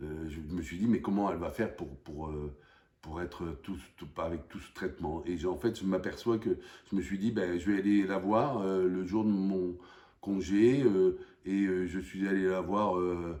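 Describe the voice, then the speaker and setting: A man's very deep, low voice with a dark, mellow tone, ordinary pitch variation, big swings in loudness and a fairly slow pace. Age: 60s. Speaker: parishioner. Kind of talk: testimony. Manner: halting.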